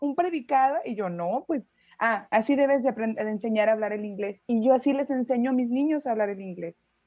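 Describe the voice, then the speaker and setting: In a Mexican accent, a woman speaks at a fairly quick pace with a high pitch, lively intonation and a dark, mellow tone. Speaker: English teacher, student in a class. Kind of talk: class discussion.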